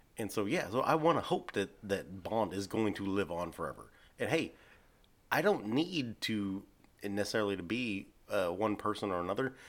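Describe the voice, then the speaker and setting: On a very clean recording with a silent background, a man with a fairly low pitch speaks at a moderate pace with lively intonation. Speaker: podcast host. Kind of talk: casual chat.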